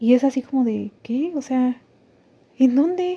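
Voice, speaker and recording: Recorded dry and close with no echo, a woman speaks. She has a high pitch and a Mexican accent. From Mexico. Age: 30s. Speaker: podcaster. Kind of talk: personal testimony. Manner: halting.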